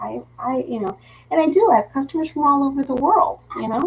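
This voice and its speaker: Over noticeable background noise, a woman in a Philadelphia accent speaks with very wide pitch swings. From Philadelphia, US. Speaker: craft teacher and live-stream host. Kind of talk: casual live craft-along chat. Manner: chatty, with false starts and repetitions.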